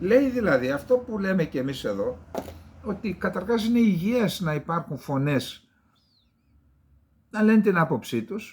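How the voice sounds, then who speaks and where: A man speaks fairly slowly in a high voice with very wide pitch swings and long, frequent pauses. The recording is very clean, with a silent background. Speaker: geopolitical commentator. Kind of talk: solo political commentary show. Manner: conversational, with fillers.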